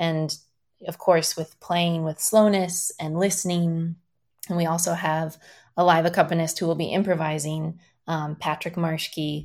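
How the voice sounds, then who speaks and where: On a very clean recording with a silent background, a woman with an American accent speaks fairly slowly at a fairly low pitch, her intonation monotone and flat. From Iowa, US Midwest. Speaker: dancer and choreographer. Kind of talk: interview.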